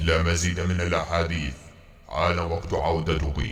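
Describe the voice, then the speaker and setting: In a put-on character voice, a man speaks with a very deep, low pitch, a monotone, flat intonation and a fairly slow pace over clear background noise. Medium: audio drama. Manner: formal, stiff classical Arabic.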